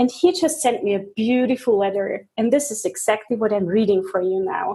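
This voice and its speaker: With a German accent, a woman speaks at a moderate pace in a somewhat breathy, dark, mellow tone, her fairly high pitch carried by lively intonation. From Germany. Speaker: interview host. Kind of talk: interview.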